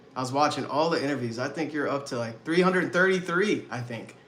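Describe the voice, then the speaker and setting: Audible room echo surrounds the voice. The man's pitch varies in an ordinary way. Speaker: mindset coach. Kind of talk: live webinar presentation. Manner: animated.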